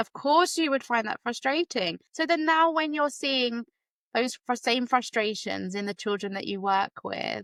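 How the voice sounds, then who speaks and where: Speaking at a fairly slow pace, a woman uses a high voice with a British accent. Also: dry, close sound with no echo. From UK. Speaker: special education teacher, podcast host. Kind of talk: casual interview chat.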